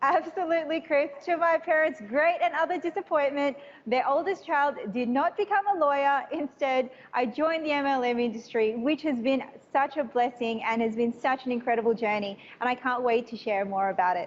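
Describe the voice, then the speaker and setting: A woman with an Australian accent speaks at a fairly quick pace and high pitch, with an animated tone. Her intonation is lively, and background noise is noticeable. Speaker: business trainer. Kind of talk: live interview.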